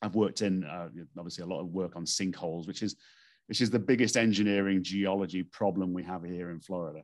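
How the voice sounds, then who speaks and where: A man with a Stoke-on-Trent accent talks at a very fast pace. His pitch is very deep and low, his intonation fairly even, and the background quiet. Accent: northern English, Stoke-on-Trent. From northern England. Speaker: expert witness and geotechnical engineer. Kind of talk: casual interview.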